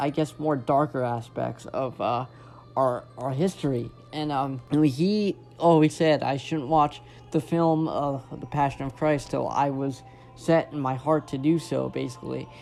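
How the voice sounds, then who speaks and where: Music plays in the background as a man speaks fairly slowly. His pitch is fairly high and his intonation fairly even. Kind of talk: casual video essay talk. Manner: hesitant, halting.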